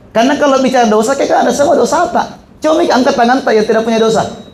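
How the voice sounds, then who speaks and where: A man talks at a very fast pace. Noticeable noise sits in the background. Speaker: Islamic preacher and university lecturer. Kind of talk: sermon. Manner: conversational, joking.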